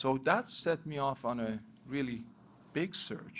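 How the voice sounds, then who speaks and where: Speaking with a non-native accent, a man uses lively intonation. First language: not English. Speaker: motivational speaker. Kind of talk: motivational talk.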